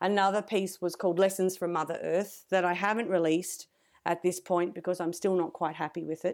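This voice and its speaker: Talking at a fairly quick pace, a woman with an Australian accent keeps a medium pitch and monotone, flat intonation. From Australia (rural New South Wales, Griffith). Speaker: composer and music educator. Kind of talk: interview conversation. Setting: remote online interview.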